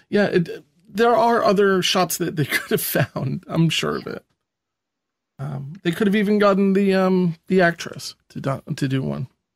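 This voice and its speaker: A high-pitched man's voice with an American accent and ordinary pitch variation, in a dry, close sound with no echo. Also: fairly slow pace. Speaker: podcast co-host. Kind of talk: casual chat.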